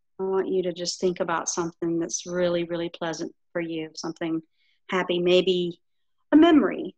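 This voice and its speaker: Speaking at a moderate pace, a woman uses a fairly low pitch and fairly even intonation. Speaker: yoga instructor. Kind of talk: yoga class instruction; guided relaxation. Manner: soft-spoken.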